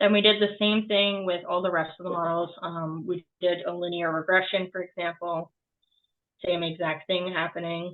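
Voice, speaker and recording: A woman speaks at a moderate pace with a slight Boston accent. Her fairly low voice stays monotone and flat. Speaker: student. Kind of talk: class project presentation and code walkthrough. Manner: halting, many filler ums.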